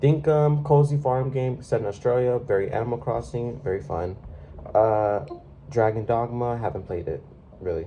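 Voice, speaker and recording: Through noticeable background noise, a man at medium pitch speaks at a moderate pace with lively intonation. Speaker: gaming YouTuber. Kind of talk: casual chat. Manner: halting.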